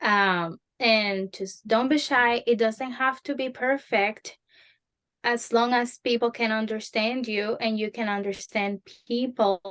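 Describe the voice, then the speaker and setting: In a Spanish accent, a woman talks at a very slow pace with a fairly high pitch and fairly even intonation, in a dry, close sound with no echo. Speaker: Spanish conversation teacher. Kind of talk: interview advice.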